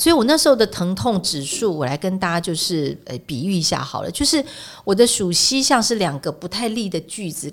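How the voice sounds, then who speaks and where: A woman's medium-pitched voice at a fairly quick pace, with very wide pitch swings. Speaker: edible oil expert and author. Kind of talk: casual interview. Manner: animated, laughing often.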